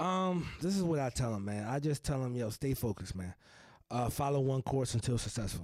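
A man speaks in a normal speaking voice at a medium pitch, with an American accent and lively intonation. His pace is fairly quick, and the recording is very clean with a silent background. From New Jersey (Elizabeth). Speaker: real estate investor. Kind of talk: casual interview chat.

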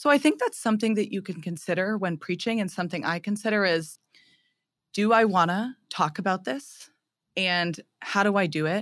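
In a normal speaking voice with ordinary pitch variation, the speaker keeps a moderate pace on a very clean recording with a silent background. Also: woman, medium pitch for a woman. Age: 20s. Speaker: theology graduate and retreat leader. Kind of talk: casual interview; preaching a homily.

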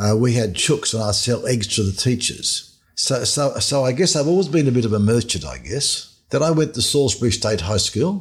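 With an Australian accent, a man speaks at a moderate pace and medium pitch, hardly pausing at all. His voice is somewhat breathy and his intonation lively, in a very clean recording with a silent background. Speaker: finance author. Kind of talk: interview.

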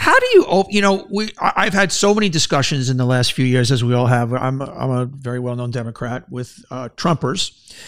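In a New York accent, a man talks at a fairly quick pace and medium pitch, his intonation lively. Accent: New York, Queens. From New York City, Queens. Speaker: podcast host, former advertising executive. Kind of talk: interview.

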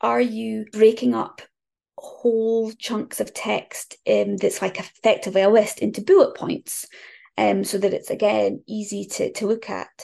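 A woman with a northeast Scottish accent at a fairly slow pace, against a quiet background. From northeast Scotland, near Aberdeen. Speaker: copywriter. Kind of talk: casual chat.

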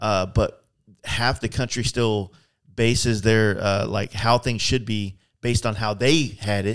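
A man talks slowly in a fairly low pitch, his tone clear and smooth and his intonation fairly even.

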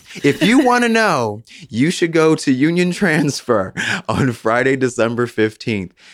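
In a very clean recording with a silent background, a man with an American accent speaks with lively intonation. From Philadelphia. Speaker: arts and culture contributor. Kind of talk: casual chat. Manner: animated.

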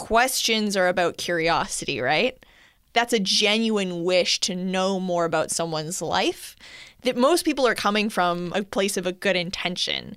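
A woman with an ordinary speaking voice talks at a moderate pace, medium in pitch with ordinary pitch variation. The recording is very clean and the background is silent. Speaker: podcast host. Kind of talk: casual chat. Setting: studio.

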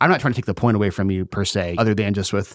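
Here is a man with an unremarkable speaking voice, fairly low in pitch with ordinary variation. The recording is very clean and dry, close with no echo, over a silent background. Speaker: film podcast guest. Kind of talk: casual chat.

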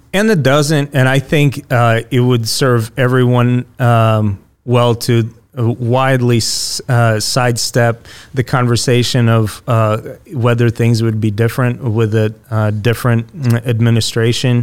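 A man with a Russian accent talks at a fairly slow pace, his medium pitch carried by fairly even intonation and very even loudness. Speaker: Russian immigrant guest. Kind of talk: podcast interview.

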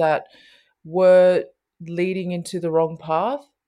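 Delivered in an Australian accent at a fairly slow pace, the speech comes on a very clean recording with a silent background. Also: woman. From Sydney, Australia. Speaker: basketball community program founder. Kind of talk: interview chat.

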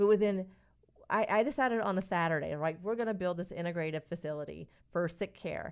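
Talking at a very fast pace, a woman with an American accent is heard on a very clean recording with a silent background. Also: fairly low pitch for a woman, ordinary pitch variation. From North Carolina, Stanly County. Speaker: integrative physician. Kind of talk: radio interview.

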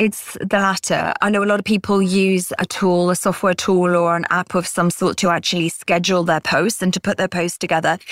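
In a British accent, a woman speaks in a flat monotone at a very even loudness, recorded very cleanly against a silent background with a dry, close sound and no echo. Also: medium pitch for a woman, fairly quick pace, hardly any pauses. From Britain. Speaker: author and freelancer. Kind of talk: interview podcast.

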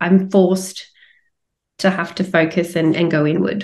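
This is a woman speaking. She has an Australian accent. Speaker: coach and retreat leader. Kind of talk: podcast interview.

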